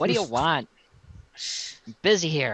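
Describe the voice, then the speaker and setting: A man does a put-on character voice, nasal and fairly high in pitch. He talks at a moderate pace in a raised, projected voice. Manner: curt, busy, impatient.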